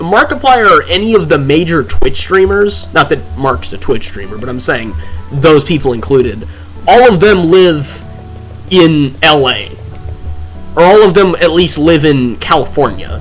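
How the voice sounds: A man talks at a fairly slow pace with music in the background.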